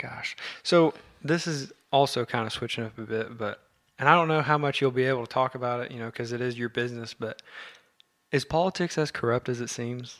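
An unremarkable speaking voice with an American accent, talking at a fairly quick pace. The pitch rises and falls in an ordinary way. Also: man, medium pitch for a man. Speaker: podcast host. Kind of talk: casual chat. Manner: excitable.

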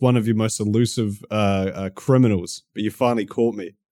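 Speaking with a New Zealand accent, a man has a medium pitch. He talks at a fairly quick pace. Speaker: YouTuber. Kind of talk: casual chat.

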